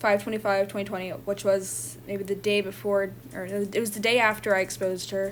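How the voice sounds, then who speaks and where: A woman's shaky voice at a medium pitch moves at a moderate pace with ordinary pitch variation. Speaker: online content creator and artist. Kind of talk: personal testimony. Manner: halting.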